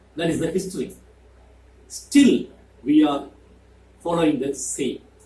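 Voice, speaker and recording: A man with a Keralan accent at a fairly slow pace. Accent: Indian (Malayali) English. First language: Malayalam. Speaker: YouTuber. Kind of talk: monologue to camera.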